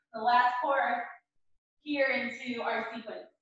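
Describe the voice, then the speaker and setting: A high-pitched woman's voice at a fairly slow pace, with strong room echo. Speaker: fitness instructor. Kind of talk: live-streamed power yoga class, giving cues. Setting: video call, live online class from home gym. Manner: brisk, rhythmic, energetic; short imperative cues timed to breath. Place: home room. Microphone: camera far.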